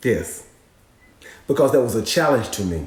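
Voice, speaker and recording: With very wide pitch swings, a man speaks at a moderate pace amid noticeable background noise and audible room echo. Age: 40s. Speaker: co-host. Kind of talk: live stream advice chat.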